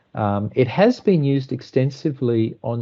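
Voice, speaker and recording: A man talks with an Australian accent. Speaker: water engineering consultant. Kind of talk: technical presentation. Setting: online call.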